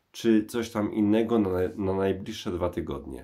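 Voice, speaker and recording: Against a quiet background, a man with a fairly low pitch speaks very slowly. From Poland, Kraków; Poland. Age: 40s. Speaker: YouTube vinyl record channel host. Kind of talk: personal monologue to camera. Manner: hesitant, many filler sounds. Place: bathroom. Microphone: phone near.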